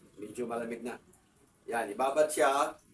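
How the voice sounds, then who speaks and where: There is noticeable background noise as a man speaks at a medium pitch. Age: 60s. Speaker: vlogger. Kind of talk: casual talk to camera. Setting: at home. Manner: halting.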